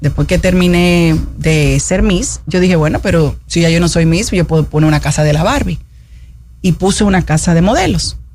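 Audible room echo surrounds a woman speaking at a moderate pace with very even loudness. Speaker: politician, parliamentary candidate and former beauty queen. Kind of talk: radio interview. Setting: radio studio.

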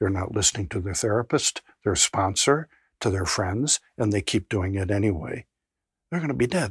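Recorded very cleanly with a silent background and a dry, close sound without echo, a man speaks in a fairly low, somewhat breathy voice with lively intonation. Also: moderate pace. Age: 70s. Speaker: addiction researcher and clinician. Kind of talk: interview.

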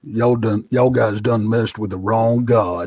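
A man puts on a character voice. He uses a Texan accent as part of the act. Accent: Texan, southern. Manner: defiant, warning.

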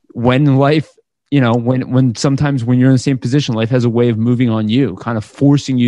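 A man's medium-pitched voice, dark and mellow in tone, with fairly even intonation. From Israel. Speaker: podcast host. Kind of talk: interview.

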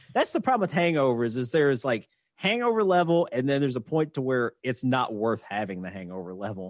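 Against a quiet background, a man with a Southern US accent talks at a fairly quick pace in a medium pitch, his intonation lively. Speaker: podcast host. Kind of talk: casual drunk banter podcast.

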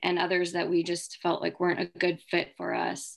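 At a fairly low pitch, a woman with an American accent speaks at a moderate pace. The recording is very clean, with a silent background. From South Carolina, US. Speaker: MBA student and fund manager. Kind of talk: podcast interview.

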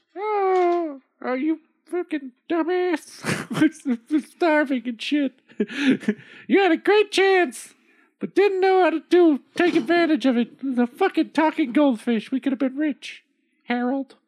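In a put-on character voice, a female-sounding speaker talks at a fairly slow pace in a high pitch, with long, frequent pauses. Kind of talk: comic overacting. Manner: shrill, scolding, foul-mouthed.

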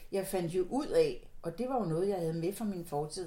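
A woman speaks with a dark, mellow tone. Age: 60s. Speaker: psychotherapist. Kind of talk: interview. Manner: halting.

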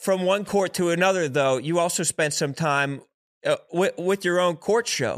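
At a fairly slow pace, a man speaks with a high pitch and ordinary pitch variation. His loudness is very even, and the recording is very clean with a silent background. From Philadelphia. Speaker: podcast co-host. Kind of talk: casual chat.

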